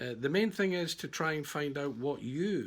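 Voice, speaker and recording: With a Glaswegian accent, a man speaks at a fairly slow pace. His fairly high voice moves through very wide pitch swings. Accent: Glaswegian Scottish. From Scotland, Glasgow. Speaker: estate agent. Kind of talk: sales pitch. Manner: casual, hesitant with fillers.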